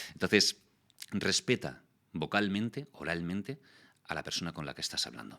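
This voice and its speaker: A man's very deep, low voice with a bright, sharp tone and vocal fry, lively intonation, big swings in loudness, a moderate pace, long, frequent pauses and a dry, close sound with no echo. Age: 40s. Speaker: voice actor and communication youtuber. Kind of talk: interview.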